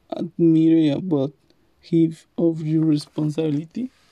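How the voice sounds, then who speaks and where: A woman with a non-native accent has a very deep, low pitch and a dark, mellow tone. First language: not English. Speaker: language learner. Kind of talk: class presentation about family. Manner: halting.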